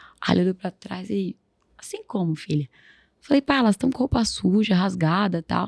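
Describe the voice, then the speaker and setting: At a moderate pace, a woman of medium pitch speaks with lively intonation and vocal fry in a dry, close sound with no echo. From Brazil, Guarulhos (São Paulo area). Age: 20s. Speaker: social entrepreneur. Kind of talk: interview, personal storytelling.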